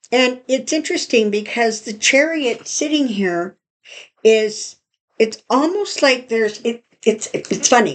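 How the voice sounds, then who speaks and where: Using a put-on character voice, a woman mumbles at a fairly slow pace and a fairly high pitch. Her intonation is lively. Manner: stuttering and mumbling.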